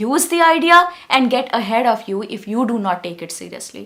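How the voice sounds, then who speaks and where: A woman with a non-native accent, very wide pitch swings and a moderate pace. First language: not English. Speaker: English teacher. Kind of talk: tutorial. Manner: calm; relaxed.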